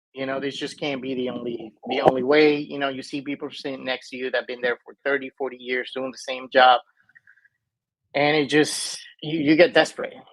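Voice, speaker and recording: A man with a Spanish accent talks at a fairly quick pace in a monotone, flat intonation. His loudness swings in big jumps. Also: medium pitch for a man. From Venezuela. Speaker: mobile home investor. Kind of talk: interview.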